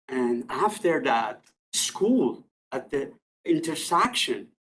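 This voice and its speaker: Speech in a non-native accent unfolds at a very slow pace. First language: not English. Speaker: resident addressing city committee. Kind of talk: public delegation statement. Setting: council meeting room at podium. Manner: halting.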